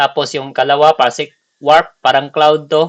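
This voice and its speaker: A man with a Visayan accent, in a dry, close sound with no echo. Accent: non-native Tagalog, Bisaya. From Bicol / Visayas, Philippines. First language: Bisaya (speaking Tagalog). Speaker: gaming tutorial creator. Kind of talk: tutorial. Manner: halting, many fillers.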